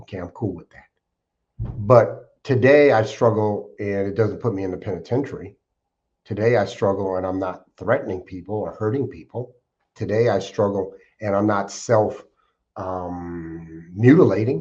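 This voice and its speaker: A man speaks in a plain, everyday voice with an American accent, at a moderate pace and a fairly low pitch, with ordinary pitch variation and big swings in loudness against a quiet background. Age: 60s. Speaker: podcast guest sharing recovery life story. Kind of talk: interview testimony. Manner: reflective, with frequent fillers.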